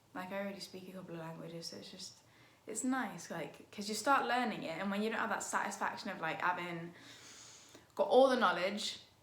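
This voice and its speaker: A woman speaks at a medium pitch and a fairly quick pace. Her loudness swings widely, and the room echo is audible. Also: ordinary pitch variation. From Liverpool, England. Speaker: YouTuber and cover singer. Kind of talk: casual Q&A vlog. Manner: hesitant, many fillers.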